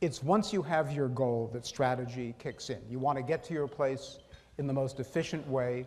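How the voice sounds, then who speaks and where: A man with a fairly high voice and ordinary pitch variation. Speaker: foundation president giving keynote. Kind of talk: conference speech. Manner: fast.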